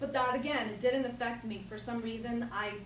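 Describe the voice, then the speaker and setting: Here a woman speaks at a moderate pace with a fairly high pitch. Noticeable background noise and audible room echo fill the recording. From Jersey City, New Jersey (born Ecuador, moved at six). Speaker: toastmasters speaker. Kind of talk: prepared speech.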